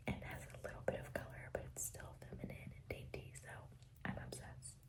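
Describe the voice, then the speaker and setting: A woman whispers over noticeable background noise. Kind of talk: ASMR whisper ramble to camera. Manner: whispered; casual, chatty.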